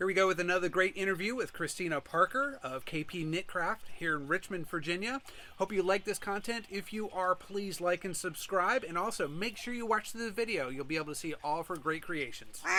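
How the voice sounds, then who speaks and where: A man projects a raised, high-pitched voice at a fairly quick pace with ordinary pitch variation. He hardly pauses at all. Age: old. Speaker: YouTube interviewer. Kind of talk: interview. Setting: craft market venue.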